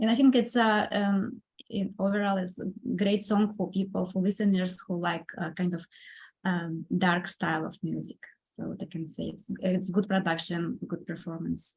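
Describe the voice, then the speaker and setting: Somewhat breathy speech from a woman with a Russian accent, at a moderate pace with fairly even intonation. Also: medium pitch for a woman. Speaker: composer and pianist. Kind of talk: podcast interview. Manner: halting, many fillers.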